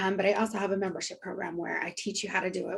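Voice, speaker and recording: This is a woman speaking at a medium pitch. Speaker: social media and content strategist. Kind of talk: online group chat presentation. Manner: fast.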